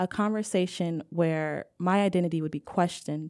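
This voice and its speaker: With an American accent, a woman speaks in a fairly low, dark, mellow tone with fairly even intonation on a very clean recording with a silent background. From California, raised by Nigerian parents. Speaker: public health consultant and writer. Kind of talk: reading aloud; interview.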